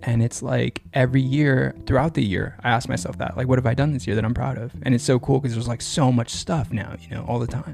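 A man talks at a very fast pace with hardly any pauses and lively intonation, over noticeable background noise. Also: medium pitch for a man. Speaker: podcast host. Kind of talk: casual chat. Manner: animated, jokey.

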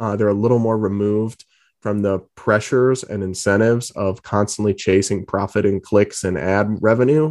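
With an American accent and a plain, everyday voice, the speaker talks at a moderate pace with ordinary pitch variation over a quiet background. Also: man. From New England (Massachusetts and Rhode Island). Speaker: political journalist. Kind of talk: interview.

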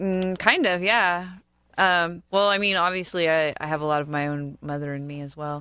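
A woman with an American accent talks at a moderate pace in a bright, sharp tone. Her pitch variation is ordinary, and her loudness swings widely. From US South, Florida. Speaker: podcast co-host. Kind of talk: casual chat.

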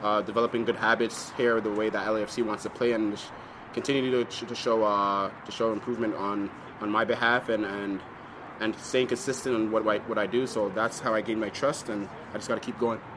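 A man with an American accent at a medium pitch, fairly quick and monotone, with noticeable background noise. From north of the US or Canada. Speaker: professional soccer player. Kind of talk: press conference answers.

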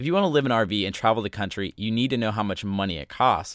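A man's animated, fairly low voice at a very fast pace, with ordinary pitch variation, dry and close with no echo, on a very clean recording with a silent background. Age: 20s. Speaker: podcast host and blogger. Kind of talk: solo podcast monologue.

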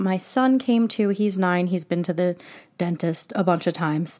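A woman's plain, everyday voice at medium pitch, fairly slow, with ordinary pitch variation, on a very clean recording against a silent background. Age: 30s. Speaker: podcast host. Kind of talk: solo podcast monologue, personal storytelling. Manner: casual, candid, self-deprecating.

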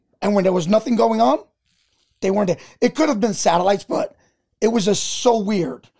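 With an American accent, a man talks at a high pitch in a dark, mellow tone. His intonation is lively and his pace fairly quick, broken by long, frequent pauses. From New York. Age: 40s. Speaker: army veteran and comedian. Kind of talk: casual chat.

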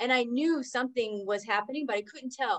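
Using a normal speaking voice, a woman with an American accent talks at a moderate pace, fairly high in pitch, with lively intonation. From Oklahoma. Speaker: entrepreneur and business coach. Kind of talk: interview.

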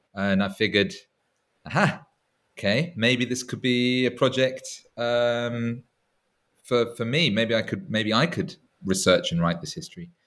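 Speaking in an English accent at a fairly slow pace, the voice has lively intonation and long, frequent pauses. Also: man, medium pitch for a man. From England. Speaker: historian. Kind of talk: interview.

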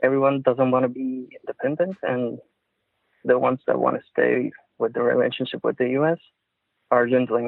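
Speaking at a fairly quick pace, a man talks with a Puerto Rican accent. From Puerto Rico. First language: Spanish. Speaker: caller, industrial engineer. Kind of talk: casual chat. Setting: phone call. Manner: halting, searching for words.

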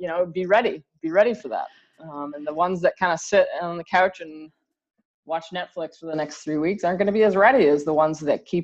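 A woman talks at a fairly quick pace and medium pitch over a quiet background. It is an ordinary speaking voice. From Canada. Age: 30s. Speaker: college golf coach. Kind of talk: interview.

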